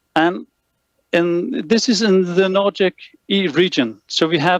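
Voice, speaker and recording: A man speaks in a Danish accent. The sound is dry and close, with no echo. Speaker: lighting consultant. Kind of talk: lecture. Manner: halting, many fillers.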